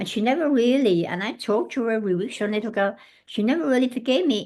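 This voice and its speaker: Against a quiet background, a woman talks at a very fast pace with an English accent. Her fairly high-pitched voice has lively intonation. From England. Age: 80s+. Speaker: former hotel housekeeper and ageism activist. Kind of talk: podcast interview. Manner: halting.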